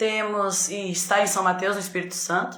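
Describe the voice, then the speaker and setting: The woman's medium-pitched voice stays monotone and flat, with audible room echo around it. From São Paulo state, Brazil. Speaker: teacher hosting a reading group live. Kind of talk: live stream chat. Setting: video call live stream. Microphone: echo on the line.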